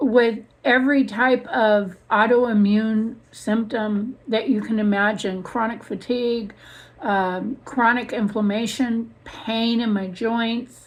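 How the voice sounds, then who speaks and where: Somewhat breathy, a woman speaks at a very slow pace with a fairly high pitch. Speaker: vlogger documenting dental surgery recovery. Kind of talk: personal vlog. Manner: hesitant, many fillers.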